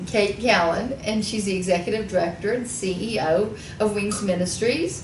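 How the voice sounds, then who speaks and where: A woman with an American accent speaks at a medium pitch with fairly even intonation. Audible room echo and noticeable background noise are in the recording. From Texas, Houston. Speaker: radio talk show host. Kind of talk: reading bios aloud in interview.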